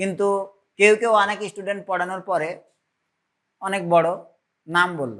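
Recorded very cleanly against a silent background, a man speaks in a bright, sharp tone with ordinary pitch variation. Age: middle-aged. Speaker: physics teacher. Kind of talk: lecture. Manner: conversational, frequent checking questions.

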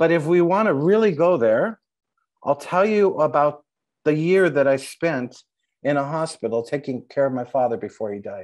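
Over a quiet background, a man with an American accent talks at a moderate pace, his fairly high pitch carried by lively intonation. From Los Angeles. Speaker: playwright; panelist. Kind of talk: panel talk. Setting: video call. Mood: reflective, animated. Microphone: earbuds.

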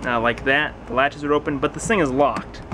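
There's noticeable background noise as a man talks. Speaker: storage locker reseller. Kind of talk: casual vlog commentary. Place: garage. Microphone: phone near.

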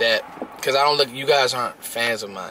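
A man is heard over light background noise. The sound is dry, with no echo. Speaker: sports vlogger. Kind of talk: casual vlog chat. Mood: warm, grateful, casual. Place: car. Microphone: phone near.

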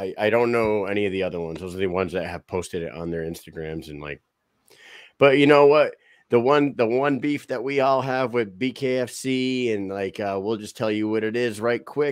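A man's fairly low voice with lively intonation and big swings in loudness, at a moderate pace, in a dry sound with no echo over a quiet background. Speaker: podcast host. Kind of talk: casual chat. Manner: energetic. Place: home room.

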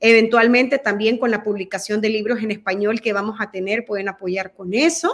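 A woman speaks at a fairly high pitch with ordinary pitch variation. Her pace is moderate, and the background is quiet. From El Salvador. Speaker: guest. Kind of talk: interview. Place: home room. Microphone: video call.

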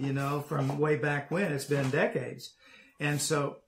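This is a man speaking. He keeps a moderate pace. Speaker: interviewer host. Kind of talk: interview question. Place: home room.

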